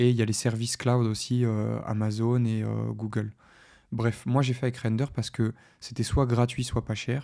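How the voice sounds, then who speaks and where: Monotone, flat intonation marks this man's medium-pitched speech at a moderate pace, recorded very cleanly with a silent background. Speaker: tech tutorial youtuber. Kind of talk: screen-share tutorial. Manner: hesitant, many fillers.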